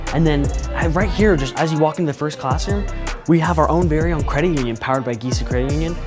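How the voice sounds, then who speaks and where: Over clear background music, a man speaks at a very fast pace. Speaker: tour guide host. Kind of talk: promotional tour commentary. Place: classroom. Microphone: lapel.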